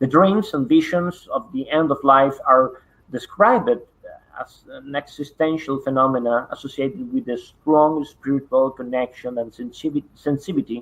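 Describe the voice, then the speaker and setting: Here a man speaks with a Spanish accent at a moderate pace. His pitch is fairly high, with ordinary variation. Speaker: parapsychology researcher. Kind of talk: online conference presentation. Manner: halting, many fillers.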